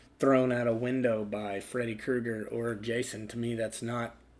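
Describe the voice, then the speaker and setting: In a flat, monotone delivery, a man talks at a medium pitch. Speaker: movie reviewer. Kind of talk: casual unscripted movie review to camera.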